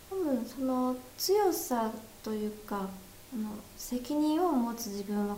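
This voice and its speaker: A woman with lively intonation at a fairly slow pace, with audible room echo and noticeable background noise. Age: 20s. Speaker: film director. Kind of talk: casual interview.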